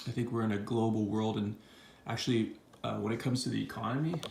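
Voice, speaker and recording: With noticeable background noise behind it, the voice keeps a fairly even intonation. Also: man. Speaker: silver stacker. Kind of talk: casual talk to camera. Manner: monotone.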